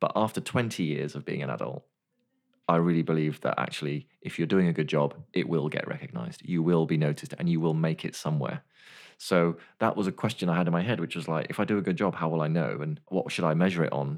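Vocal fry colors speech delivered at a very fast pace with ordinary pitch variation. The background is quiet. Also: man, very deep, low pitch for a man. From West Wales and Devon. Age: 40s. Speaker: former racing cyclist. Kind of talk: casual chat. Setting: studio.

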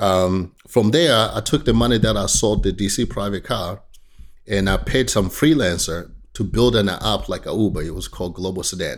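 Speaking at a moderate pace, a man uses a fairly low pitch with vocal fry and ordinary pitch variation. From Tanzania. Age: 40s. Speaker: tech startup founder. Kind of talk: podcast interview. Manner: frequent laughter.

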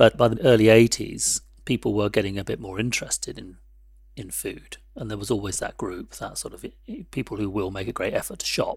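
Heard in a very clean recording with a silent background, a man talks with a London accent. His pace is fairly quick, and his loudness swings widely. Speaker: tea company founder. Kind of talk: interview.

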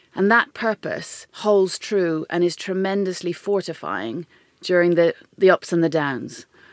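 Speaking with an Irish accent, a woman uses a fairly low pitch with ordinary pitch variation. Her pace is fairly slow, and the sound is dry and close with no echo. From Ireland. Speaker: tech company chief executive. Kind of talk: interview conversation.

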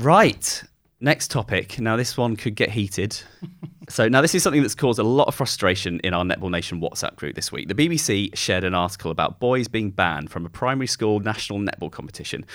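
A plain, everyday voice with lively intonation at a fairly quick pace. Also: man. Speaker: podcast producer stepping in as host. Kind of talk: casual chat.

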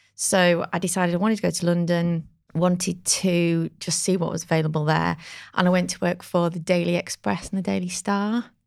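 This woman has an ordinary speaking voice with a fairly low pitch. She moves at a fairly quick pace with fairly even intonation. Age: 40s. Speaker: market research agency founder. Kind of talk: casual chat.

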